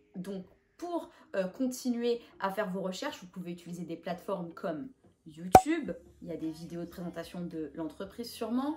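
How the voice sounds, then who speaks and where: Her intonation is lively, and noticeable background noise can be heard behind it. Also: big swings in loudness. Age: 20s. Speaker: YouTuber giving job interview tips. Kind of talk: advice vlog. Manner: casual with frequent hesitations.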